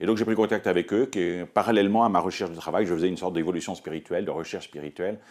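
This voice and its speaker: There is vocal fry in this man's voice, and his pitch varies in an ordinary way. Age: 60s. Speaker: Dominican friar and priest. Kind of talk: personal testimony. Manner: halting, many hesitations.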